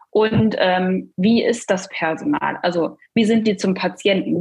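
Her voice is somewhat breathy and medium in pitch, with lively intonation throughout. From northern Germany, Cuxhaven district. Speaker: dental billing consultant and coach. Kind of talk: podcast interview.

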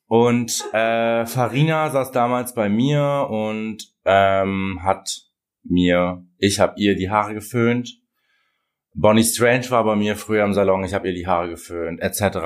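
A man in a plain, everyday voice, fairly low-pitched with ordinary pitch variation, at a fairly slow pace, on a very clean recording with a silent background. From Germany, Russian-German family. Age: 20s. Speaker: hair colorist and influencer. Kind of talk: interview, casual chat.

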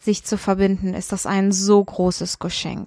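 Captured in a very clean recording with a silent background, a woman speaks at a moderate pace and a medium pitch. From Kenya. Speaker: podcast host and coach. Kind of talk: solo podcast monologue. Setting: outdoors in Goa, India.

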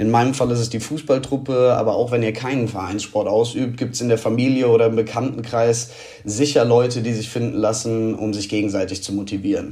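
Fairly quick and fairly even in intonation, a man speaks amid noticeable background noise and audible room echo. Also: medium pitch for a man. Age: 20s. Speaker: amateur footballer, marketing manager. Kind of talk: voice message.

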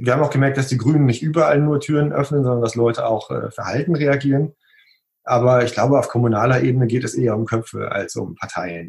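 A man speaks very fast at medium pitch with ordinary pitch variation. His voice is somewhat breathy. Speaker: graphic designer. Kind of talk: interview. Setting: video call.

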